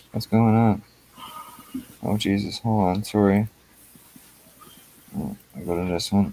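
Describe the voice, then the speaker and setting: The speaker has a Newfoundland accent and a fairly slow pace with long, frequent pauses. Intonation stays fairly even over noticeable background noise. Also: man, fairly low pitch for a man. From Newfoundland, Canada. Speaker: YouTube auditor livestreamer. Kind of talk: casual livestream chat. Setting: online livestream.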